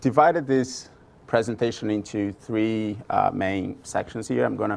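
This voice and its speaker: Speaking with a strong Brazilian accent, a man holds a medium pitch and fairly even intonation. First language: Portuguese. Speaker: product marketing manager presenter. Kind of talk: conference presentation. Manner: hesitant, many fillers.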